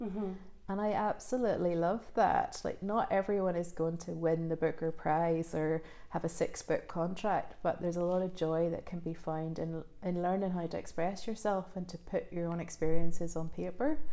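A woman's fairly low voice in a Northern Irish accent, dark and mellow in tone, with fairly even intonation and a moderate pace. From Northern Ireland, rural village. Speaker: novelist. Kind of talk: interview. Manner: hesitant, many fillers.

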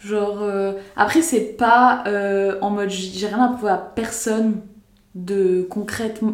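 A woman speaks at a fairly high pitch with fairly even intonation. Audible room echo surrounds her voice. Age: 20s. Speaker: podcast host. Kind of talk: casual chat.

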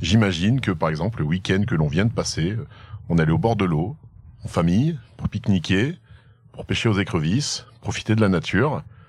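A man's very deep, low voice with lively intonation, a moderate pace, and long, frequent pauses. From France, Haute-Loire. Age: 30s. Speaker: entrepreneur and barbecue team founder. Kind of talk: casual interview. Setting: outdoors in the countryside.

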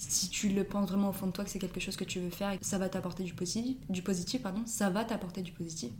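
A woman speaks at a very fast pace and a medium pitch with fairly even intonation and hardly any pauses. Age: 20s. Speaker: student teacher. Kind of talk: casual interview.

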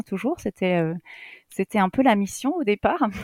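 A woman speaks in a plain, everyday voice at medium pitch with ordinary pitch variation and a moderate pace, the sound dry and close with no echo in a very clean recording with a silent background. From Alsace, Strasbourg suburbs. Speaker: primary school teacher and headteacher. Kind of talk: casual interview chat.

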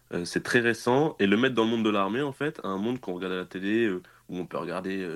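A man's plain, everyday voice at a fairly quick pace, with ordinary pitch variation, on a very clean recording with a silent background. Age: 20s. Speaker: military cybersecurity specialist. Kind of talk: casual interview. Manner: casual, filler-heavy.

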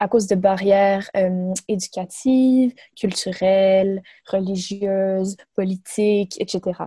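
Very slow, somewhat breathy speech in a dark, mellow tone, with a dry, close sound and no echo. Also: woman. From Quebec, Montreal. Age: 20s. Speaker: medical student and nonprofit co-founder. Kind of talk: interview. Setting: remote call. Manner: halting.

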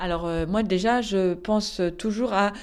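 Her voice has a dark, mellow tone. The speaker is a woman. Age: 40s. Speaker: company director. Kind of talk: interview. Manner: hesitant fillers.

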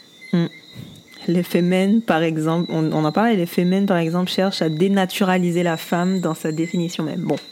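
A woman talks at a moderate pace in a fairly low pitch with fairly even intonation. Noticeable background noise sits behind her. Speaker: podcast co-host. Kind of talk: casual chat. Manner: halting.

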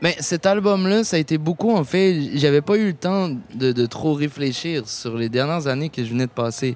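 Lively intonation and a fairly high male pitch at a moderate pace, in an ordinary speaking voice. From Quebec. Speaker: musician. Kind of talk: interview. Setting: outdoor festival.

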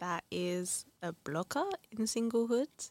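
A woman speaks with a London accent. The sound is dry and close, with no echo. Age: 30s. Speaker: podcast guest. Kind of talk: casual chat.

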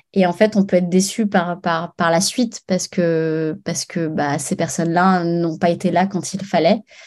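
A woman's fairly low voice at a fairly slow pace, fairly even in intonation, with hardly any pauses, over a quiet background. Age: 30s. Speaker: former radio host, interior decorator. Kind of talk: interview. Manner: halting, many fillers and repetitions.

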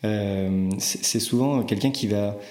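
Fairly low-pitched male voice with audible room echo. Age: 30s. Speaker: startup co-founder and CEO. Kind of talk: interview conversation. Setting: company office. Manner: hesitant, with frequent word repetitions.

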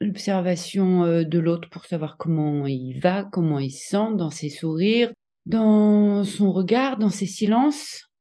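Against a quiet background, a woman speaks at a very slow pace in a medium pitch, her tone dark and mellow and her intonation lively. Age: 40s. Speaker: interviewee sharing personal experience. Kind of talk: testimony. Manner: hesitant, many filler sounds.

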